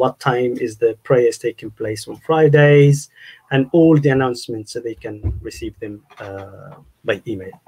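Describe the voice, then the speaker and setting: Against a quiet background, a man with an Arabic accent talks at a moderate pace in a dark, mellow, somewhat breathy tone, with ordinary pitch variation, big swings in loudness, and long, frequent pauses. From Egypt. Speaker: university staff member; guest. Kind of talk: casual interview conversation. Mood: calm, explanatory. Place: home room. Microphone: video call.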